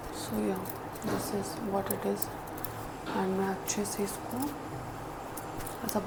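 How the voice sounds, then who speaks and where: Soft-spoken and medium in pitch, a woman talks over noticeable background noise with audible room echo. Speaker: beauty YouTuber. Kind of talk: makeup tutorial chat. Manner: Hindi-English code-switching. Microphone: voice may sound quiet.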